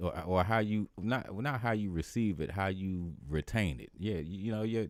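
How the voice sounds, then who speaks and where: The very clean recording, with a silent background, captures a man speaking with ordinary pitch variation. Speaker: funk musician and podcast host. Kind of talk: casual livestream chat. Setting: livestream on camera. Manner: casual, conversational.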